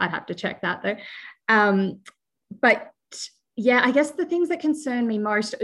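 The background is quiet. A woman speaks with an Australian accent. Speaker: bee researcher. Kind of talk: interview.

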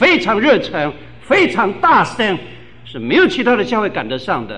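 Over noticeable background noise and audible room echo, a man talks at a moderate pace in a high voice with very wide pitch swings. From Taiwan, Tainan. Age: 50s. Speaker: pastor. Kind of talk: sermon.

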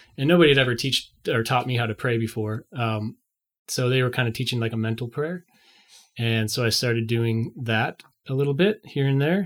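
A man with an American accent speaks in a normal speaking voice at a moderate pace. His pitch is medium with ordinary variation, and the recording is very clean with a silent background. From northern Illinois (St. Charles, near Chicago). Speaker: musician and former studio intern. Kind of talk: casual interview, faith testimony.

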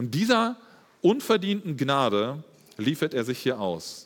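In a very clean recording with a silent background, the voice moves at a fairly slow pace with very wide pitch swings. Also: man. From Germany, Espelkamp (East Westphalia). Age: 30s. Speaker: lay preacher and teacher. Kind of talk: sermon. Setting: church service.

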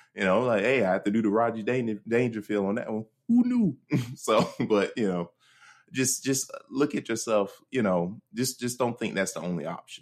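Here is a man with a plain, everyday voice at medium pitch and ordinary pitch variation. He speaks at a moderate pace in a very clean recording with a silent background. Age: 30s. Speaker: podcast co-host. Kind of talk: casual chat.

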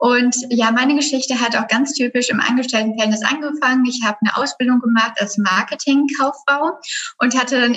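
Fairly even intonation from a woman, noticeable background noise behind her. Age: 20s. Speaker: graphic designer and business coach. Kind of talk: casual chat.

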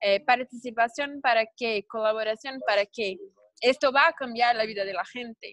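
A woman speaks at a moderate pace. Her voice is fairly high, with a Brazilian accent. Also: ordinary pitch variation. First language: Portuguese (speaking Spanish). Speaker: webinar host. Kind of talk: online interview / panel talk. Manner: halting.

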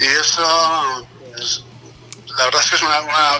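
A man's voice over noticeable background noise. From Basque Country, Vitoria. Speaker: guest artist. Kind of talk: casual interview chat.

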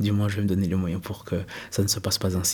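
Somewhat breathy, a man talks at a fairly low pitch. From Switzerland, Neuchâtel. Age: 30s. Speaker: entrepreneur. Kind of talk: interview.

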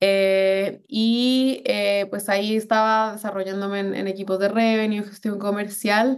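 A woman speaks in a medium pitch at a fairly slow pace. Her intonation is monotone and flat. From Colombia, Bogotá. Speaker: delivery app restaurant manager. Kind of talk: interview.

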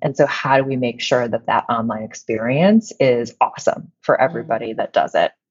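With a Midwestern American accent, a woman speaks at a moderate pace with very wide pitch swings. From Illinois, US Midwest. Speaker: company CEO. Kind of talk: interview.

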